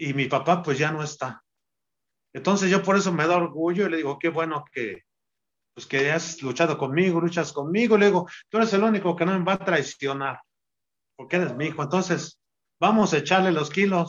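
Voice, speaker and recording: At a fairly quick pace, a man with a high pitch and ordinary pitch variation speaks with long, frequent pauses. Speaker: retired wrestler. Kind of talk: interview.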